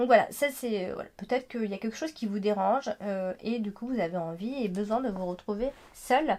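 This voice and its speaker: Her intonation is lively as this woman speaks. She holds a moderate pace. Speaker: tarot card reader. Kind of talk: horoscope card reading. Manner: hesitant, many fillers.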